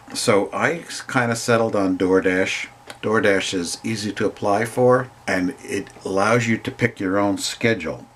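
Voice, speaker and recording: Noticeable background noise sits behind this recording. A man speaks slowly-ish, at a fairly slow pace, with a fairly low pitch. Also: ordinary pitch variation. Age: old. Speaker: part-time food delivery driver. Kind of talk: casual talk to camera.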